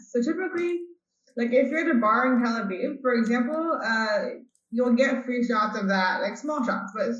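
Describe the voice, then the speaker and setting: In an American accent, a woman talks at a high pitch and moderate pace with lively intonation, with audible room echo in the recording. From California, Bay Area. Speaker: chef and cookbook author. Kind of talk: interview. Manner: casual, filler-heavy.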